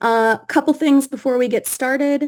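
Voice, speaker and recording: A woman talks at a fairly slow pace. Her intonation is fairly even. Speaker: developer advocate, workshop instructor. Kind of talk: online workshop presentation.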